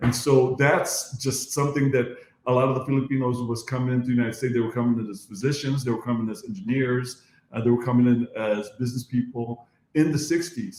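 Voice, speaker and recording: The speaker sounds somewhat breathy, talking at a very fast pace with fairly even intonation. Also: man, medium pitch for a man. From Philippines, moved to US at nine. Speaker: dentist and podcast host. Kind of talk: casual chat. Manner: halting, repetitive fillers.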